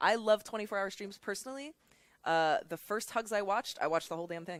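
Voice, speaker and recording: With a Californian accent, the speaker talks at a very fast pace. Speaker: charity stream co-host. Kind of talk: casual chat.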